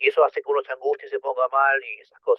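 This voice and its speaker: A man with a Rioplatense accent at a moderate pace. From Argentina, Buenos Aires. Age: 40s. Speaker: person with OCD sharing experience. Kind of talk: interview. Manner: halting.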